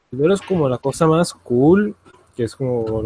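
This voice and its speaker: The voice has a dark, mellow tone and sounds somewhat breathy. It moves at a moderate pace. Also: man, dry, close sound with no echo. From Colombia. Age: young. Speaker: youtuber. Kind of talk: casual chat.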